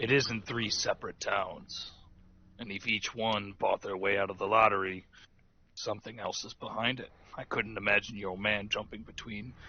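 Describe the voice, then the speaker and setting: A man's raspy, put-on character voice at a fairly low pitch and moderate pace. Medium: actual play.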